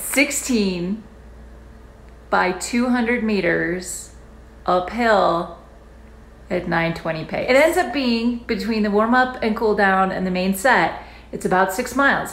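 Somewhat breathy, a woman's voice comes through with audible room echo. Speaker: running vlogger. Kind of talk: casual vlog chat. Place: home room. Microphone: phone near.

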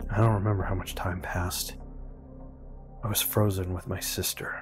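Over music in the background, a man speaks at a moderate pace with monotone, flat intonation. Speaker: YouTube reviewer reading horror stories. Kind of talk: horror story reading.

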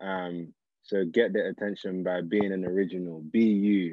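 A man with a London accent, monotone and flat, at a fairly slow pace, in a dry sound with no echo and a quiet background. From South London, England. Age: 20s. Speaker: engineer and social entrepreneur; guest. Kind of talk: interview. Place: home room. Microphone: video call.

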